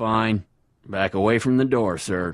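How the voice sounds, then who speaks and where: At a fairly slow pace, the words come out in a put-on character voice. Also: man. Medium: video game. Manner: curt, officious.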